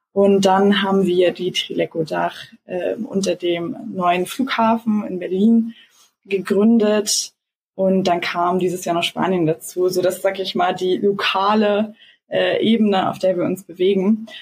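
Very slow, somewhat breathy speech with fairly even intonation. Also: woman, medium pitch for a woman. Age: 20s. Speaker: startup co-founder. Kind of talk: interview. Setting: video call. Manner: hesitant, many fillers.

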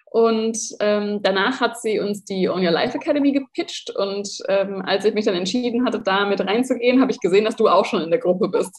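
A woman with a fairly high pitch talks at a fairly quick pace with hardly any pauses over noticeable background noise. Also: ordinary pitch variation. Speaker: entrepreneur and online shop owner, former lifestyle blogger. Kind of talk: casual interview conversation.

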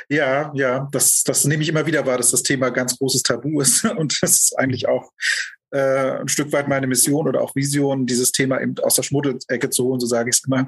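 Talking at a fairly quick pace, a man has a normal speaking voice with a medium pitch. His intonation is fairly even and his loudness very even. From East Germany, Lusatia. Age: 40s. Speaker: end-of-life companion and life coach. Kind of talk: personal interview testimony.

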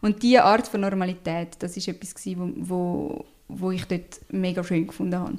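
A woman talks at a fairly quick pace. She has a Swiss accent. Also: medium pitch for a woman. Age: 20s. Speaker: social worker and children's book author. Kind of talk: interview. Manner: animated.

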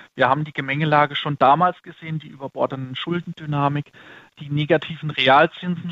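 A man's fairly high pitch with fairly even intonation. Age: 30s. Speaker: fund manager. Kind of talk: interview. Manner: halting.

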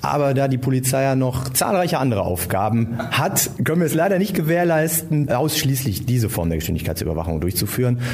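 A man's medium-pitched voice at a fairly quick pace, with very wide pitch swings, very even loudness and hardly any pauses, plus audible room echo and noticeable background noise. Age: 40s. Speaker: police officer. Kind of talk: interview.

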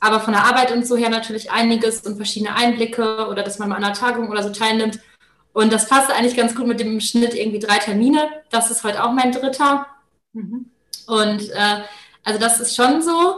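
Audible room echo surrounds a woman's fairly high voice. She talks at a fairly quick pace with fairly even intonation. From Germany, Paderborn. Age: 20s. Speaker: master's student. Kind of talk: casual interview.

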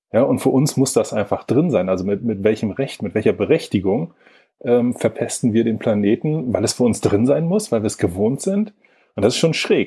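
A man's somewhat breathy, medium-pitched voice at a moderate pace, with lively intonation. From northern Germany, Lübeck. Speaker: environmental organisation executive. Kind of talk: interview conversation.

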